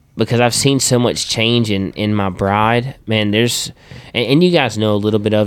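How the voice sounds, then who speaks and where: A man speaks at a fairly low pitch and a fairly quick pace with ordinary pitch variation. The recording is very clean with a silent background. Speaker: worship leader and podcast host. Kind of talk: casual chat. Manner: animated, informal.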